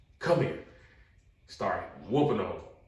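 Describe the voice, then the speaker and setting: Room echo is audible around this man's voice. He sounds somewhat breathy. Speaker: podcast guest telling life stories. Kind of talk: casual storytelling chat. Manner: animated.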